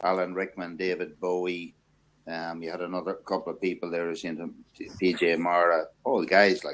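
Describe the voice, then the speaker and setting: Talking at a fairly quick pace, a man with an Irish accent uses a very deep, low pitch and monotone, flat intonation. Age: 50s. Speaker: men's talk show host. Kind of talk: casual discussion. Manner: hesitant, many fillers.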